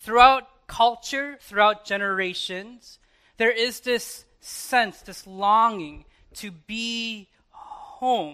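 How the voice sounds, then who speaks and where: Very slowly and in a raised, projected voice, a man with a Chicago accent speaks at an extremely high pitch in a bright, sharp tone, his loudness swinging widely, in a very clean recording with a silent background. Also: ordinary pitch variation. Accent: general American, Chicago area. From Chicago, US. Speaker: pastor. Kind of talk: sermon. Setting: church.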